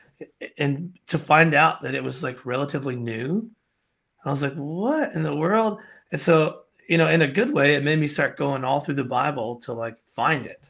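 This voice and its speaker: A man with a fairly high pitch talks at a moderate pace, using ordinary pitch variation. The recording is very clean, with a silent background. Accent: American. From Alabama, US South. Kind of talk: casual interview, personal testimony.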